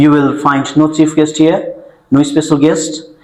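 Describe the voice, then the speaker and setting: A man with a Nepali accent at a fairly slow pace, audible room echo around him. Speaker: event host. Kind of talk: formal event introduction. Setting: stage with audience. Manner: formal.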